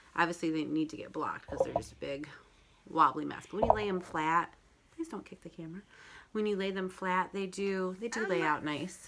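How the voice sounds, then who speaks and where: Over noticeable background noise, a woman talks at a fairly quick pace. Her loudness swings widely while her pitch variation stays ordinary. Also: medium pitch for a woman. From Michigan. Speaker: knitting and crochet podcaster. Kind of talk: casual talk to camera. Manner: fast.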